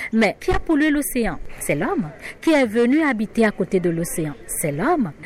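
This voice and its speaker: Noticeable background noise underlies a woman speaking at a fairly slow pace and fairly high pitch, with very wide pitch swings and very even loudness. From Benin. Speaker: journalist, editor-in-chief. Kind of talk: interview soundbite.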